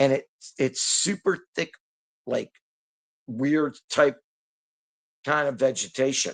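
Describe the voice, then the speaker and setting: An American man speaks very slowly with long, frequent pauses and ordinary pitch variation. The sound is dry and close, with no echo. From Detroit, Michigan, US. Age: 60s. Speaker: hunter recounting encounters. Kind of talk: casual storytelling interview. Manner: repetitive, halting.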